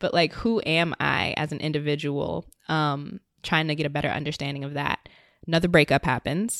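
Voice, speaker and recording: A woman with an American accent speaks at a moderate pace in a very deep, low pitch with ordinary variation. The sound is dry and close with no echo, and the recording is very clean with a silent background. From Virginia, US. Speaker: independent podcaster. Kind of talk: interview conversation. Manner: casual, filler-heavy.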